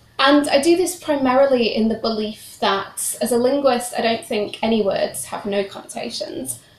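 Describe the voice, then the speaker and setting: Speaking at a moderate pace with a British accent, a woman uses a high pitch and ordinary pitch variation while noticeable background noise plays. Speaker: PhD researcher, historian. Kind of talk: academic seminar talk. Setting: seminar room with audience, streamed online.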